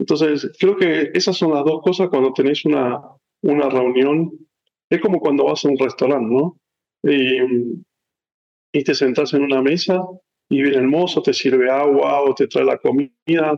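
A man's fairly high voice at a fairly slow pace, with long, frequent pauses, very even loudness and ordinary pitch variation. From Argentina, San Rafael, Mendoza. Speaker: tech executive. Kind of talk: interview.

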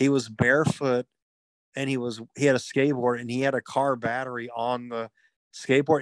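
An ordinary speaking voice with an American accent moves at a fairly quick pace, recorded dry and close with no echo. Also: man. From Texas, Houston. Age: 30s. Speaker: podcast co-host. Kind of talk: casual chat.

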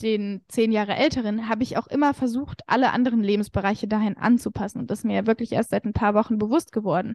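This woman has an ordinary speaking voice, pitched fairly high, with fairly even intonation. The sound is dry and close with no echo. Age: 20s. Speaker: confidence coach. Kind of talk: casual chat.

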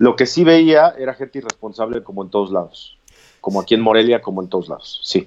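Very fast speech from a man of medium pitch, with lively intonation. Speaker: interviewee on quarantine life. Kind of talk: interview over live video.

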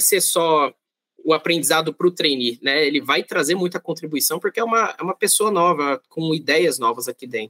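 Lively intonation and a bright, sharp tone come through at a fairly quick pace, with a dry, close sound and no echo. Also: man. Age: 30s. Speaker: corporate planning coordinator. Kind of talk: podcast interview.

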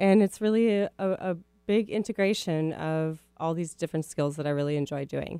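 A woman's dark, mellow tone in a Midwestern US accent, at a moderate pace, with a dry, close sound and no echo. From Minneapolis, US Midwest. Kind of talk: radio interview.

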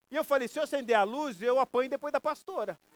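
A man's very fast speech in a dry, close sound with no echo. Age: 50s. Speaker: pastor. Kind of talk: sermon.

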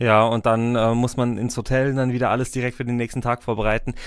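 The speech moves at a fairly quick pace, recorded very cleanly against a silent background. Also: man. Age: 20s. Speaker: wedding officiant and podcast host. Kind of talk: casual interview.

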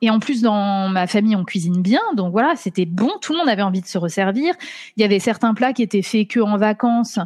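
A woman talks at a fairly quick pace with a fairly high, somewhat breathy voice and ordinary pitch variation. Her loudness stays very even against a quiet background. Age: 30s. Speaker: doctoral student in law. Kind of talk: interview.

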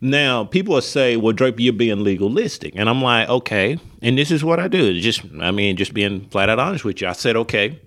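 A man with an Alabama accent, fairly quick and lively in intonation, with hardly any pauses. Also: medium pitch for a man. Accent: Southern US (Alabama). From US South, West Alabama (Linden). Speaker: pastor. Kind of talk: casual chat.

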